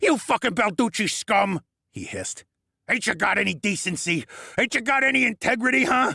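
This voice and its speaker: A man puts on a character voice, pitched high and talking at a fairly quick pace. There is a hissing quality to it. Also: lively intonation. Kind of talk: tough street talk. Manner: hissing, angry, pleading with bravado.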